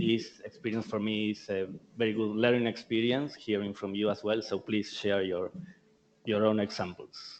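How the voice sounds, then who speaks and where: Talking at a moderate pace in an Argentinian accent, a man holds a fairly low pitch and fairly even intonation. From Argentina. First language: Spanish. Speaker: tech company marketing speaker. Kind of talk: conference presentation. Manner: halting.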